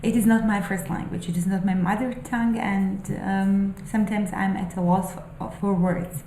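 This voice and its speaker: A woman with a non-native accent speaks at a moderate pace with fairly even intonation, amid audible room echo and noticeable background noise. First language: not English. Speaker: spiritual vlogger and aspiring novelist. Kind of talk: casual monologue, musings. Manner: halting, many fillers.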